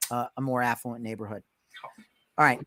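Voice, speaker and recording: A man speaks with a New York accent. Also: dry, close sound with no echo. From New York, Westchester. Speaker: podcast host, real estate agent. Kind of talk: casual interview chat.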